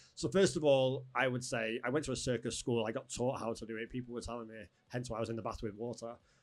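Very fast speech from a man at medium pitch, intonation fairly even. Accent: Manchester. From northern England. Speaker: events company owner. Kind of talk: casual interview. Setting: studio.

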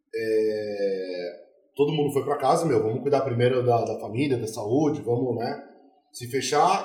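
A man's words echo audibly around the room as he speaks at a moderate pace. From São Paulo, Brazil. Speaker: craft brewery co-founder. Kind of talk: casual chat.

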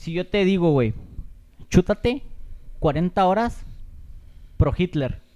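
This man, with a Mexican accent, speaks at a very slow pace with long, frequent pauses. His pitch is high, his tone dark and mellow, and his intonation lively. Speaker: podcast co-host. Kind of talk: casual chat.

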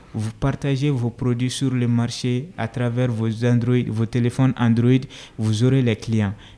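Very slowly, a man talks at a medium pitch with a dark, mellow tone. His intonation stays monotone and flat. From rural Mali. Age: 20s. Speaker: NGO project manager. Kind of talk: interview.

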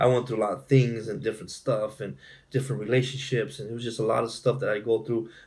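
A man with a somewhat breathy, medium-pitched voice talks at a very fast pace with ordinary pitch variation. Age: 40s. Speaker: domestic violence survivor and speaker. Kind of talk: personal testimony in interview.

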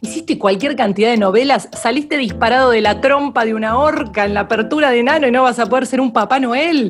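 A woman's fairly high voice, fairly quick and with lively intonation, against noticeable background noise. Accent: Rioplatense. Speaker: podcast host. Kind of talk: casual chat. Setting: at home. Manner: animated.

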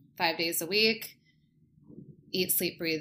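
A woman with a Californian accent speaks fairly slowly in a bright, sharp tone at a fairly low pitch. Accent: Californian American. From Southern California, Costa Mesa. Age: 20s. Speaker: hairdresser. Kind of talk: casual chat.

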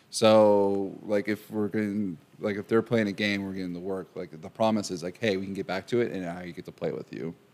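A man talks at a fairly quick pace with hardly any pauses, in a plain, everyday voice. His pitch is fairly low and his intonation fairly even. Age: 20s. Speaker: mental health practitioner. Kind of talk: casual chat.

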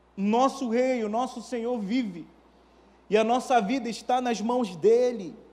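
Dark, mellow tone at a fairly slow pace, with fairly even intonation and audible room echo. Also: man, extremely high pitch for a man. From Manaus, Brazil. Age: 30s. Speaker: pastor. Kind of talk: sermon.

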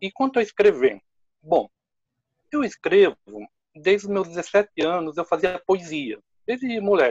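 A man's high-pitched, lively speech at a fairly slow pace, broken by long, frequent pauses, in a dry, close sound with no echo. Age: 50s. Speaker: drama teacher. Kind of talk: casual chat.

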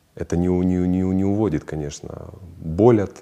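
Very deep and low in pitch, this man's voice has a dark, mellow tone. He speaks at a very slow pace with fairly even intonation. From Ukraine, Kharkiv. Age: 40s. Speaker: businessman and traveler. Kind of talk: interview conversation.

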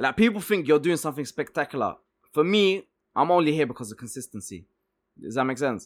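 A man speaks at a very fast pace. His pitch is fairly high and his intonation lively. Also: very clean recording, silent background. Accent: London. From Egypt, then South London (Peckham) from 1997. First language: Arabic/Swedish. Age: 30s. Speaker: entrepreneur. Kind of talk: casual interview chat.

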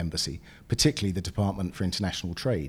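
With a British accent and a very deep, low pitch, a man speaks with ordinary pitch variation on a very clean recording with a silent background. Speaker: business group chairman. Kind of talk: interview.

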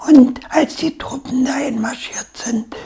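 A woman's voice at a very slow pace. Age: 80s+. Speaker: war-era eyewitness. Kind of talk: interview, life story.

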